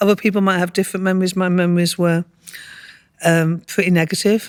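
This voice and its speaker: A woman speaks with a Lancashire accent at a very fast pace. Her intonation is monotone and flat. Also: medium pitch for a woman, very even loudness. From northern England, Morecambe, Lancashire. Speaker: professor and heritage trust chair. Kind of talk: interview conversation.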